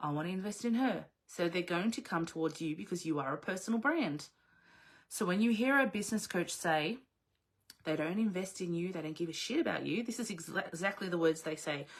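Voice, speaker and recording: Animated in tone, a woman with an Australian accent speaks at a fairly quick pace with lively intonation. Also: medium pitch for a woman. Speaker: business coach. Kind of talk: live online coaching session. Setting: video livestream.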